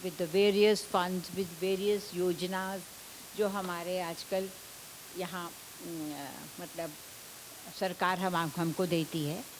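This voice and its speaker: Her intonation is monotone, flat. This woman talks at a very slow pace. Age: 70s. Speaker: hospital volunteer and cancer survivor. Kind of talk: panel talk. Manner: halting.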